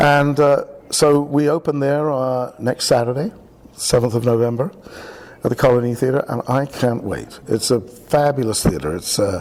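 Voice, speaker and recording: At a moderate pace, a man with a British accent speaks at a medium pitch with ordinary pitch variation. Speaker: theatre director. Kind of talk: radio interview. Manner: halting.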